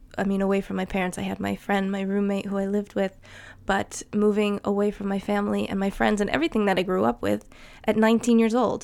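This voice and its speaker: The recording is very clean, with a silent background. A woman talks at a very fast pace in a New Jersey accent. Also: medium pitch for a woman. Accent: New Jersey American. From New Jersey, US. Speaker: podcaster. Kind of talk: solo podcast monologue, casual. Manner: casual, chatty, enthusiastic.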